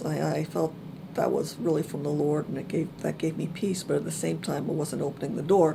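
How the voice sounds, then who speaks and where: A woman speaks with a very deep, low pitch and ordinary pitch variation. Her pace is fairly quick. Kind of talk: personal testimony talk. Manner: soft-spoken; hesitant, many fillers.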